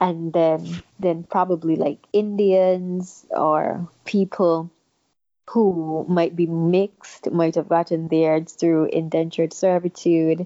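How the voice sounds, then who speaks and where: A woman with a Kittitian accent speaks very slowly, her intonation monotone and flat and her loudness very even. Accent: Kittitian Caribbean English. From St. Kitts. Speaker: guest. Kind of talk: casual interview conversation.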